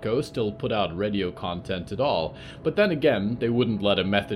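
Someone reads in a natural reading voice, with lively intonation.

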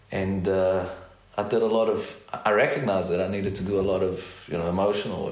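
Noticeable background noise sits behind a man with a fairly low voice who speaks at a fairly quick pace with fairly even intonation. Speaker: therapist and educator. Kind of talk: casual interview.

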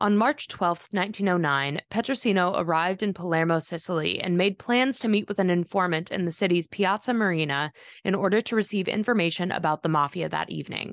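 In a dry, close sound with no echo, a woman with a medium pitch speaks at a fairly quick pace with hardly any pauses, in a serious, dramatic tone with ordinary pitch variation. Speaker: podcast narrator. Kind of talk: true-crime narration. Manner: measured, steady storytelling pace; serious, dramatic, matter-of-fact tone.

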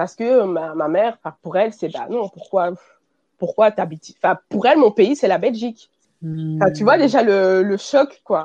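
In a dry, close recording with no echo, a woman speaks fairly slowly in a dark, mellow tone with lively intonation. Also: medium pitch for a woman. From Belgium. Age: 20s. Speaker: fashion brand founder. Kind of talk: interview.

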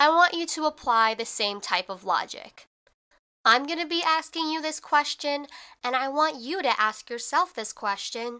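On a very clean recording with a silent background, a woman uses a raised, projected voice with a bright, sharp, animated tone and lively intonation. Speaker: podcast host. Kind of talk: casual solo podcast monologue. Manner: casual, chatty, animated.

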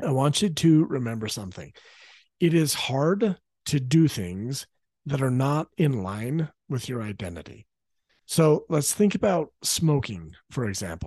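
Against a quiet background, a man with a fairly high pitch and a dark, mellow, somewhat breathy tone speaks at a fairly slow pace with very wide pitch swings. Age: 40s. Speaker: parenting coach and podcast host. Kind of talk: promotional pitch; solo podcast teaching monologue.

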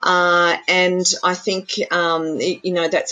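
An Australian-accented woman with a fairly low-pitched voice. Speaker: apprenticeship network representative. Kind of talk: interview.

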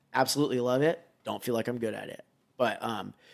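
A man talks in an ordinary speaking voice with fairly even intonation. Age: 30s. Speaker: BMX rider. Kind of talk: casual chat.

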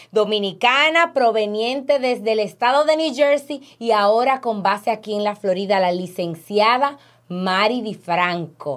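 Recorded very cleanly against a silent background, a woman speaks at a fairly slow pace with lively intonation. She has an ordinary speaking voice, fairly high in pitch. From Dominican Republic. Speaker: podcast host, insurance agent. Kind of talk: interview.

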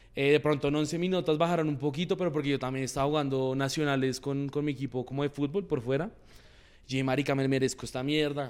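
A fairly high-pitched man at a very fast pace, on a very clean recording with a silent background. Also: fairly even intonation. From Colombia, Bogotá and Boyacá. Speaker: influencer. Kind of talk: casual interview. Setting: garden.

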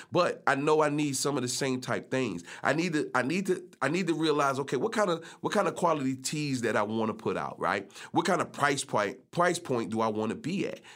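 On a very clean recording with a silent background, a man speaks fairly quickly at a fairly high pitch with lively intonation. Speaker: podcast host. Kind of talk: solo podcast episode, casual talk. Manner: rhythmic, flow-like delivery, casual.

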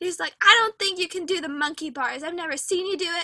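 A woman with an extremely high pitch uses a raised, projected voice in a bright, sharp tone with ordinary pitch variation. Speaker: podcast host. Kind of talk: casual chat. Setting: recording at home.

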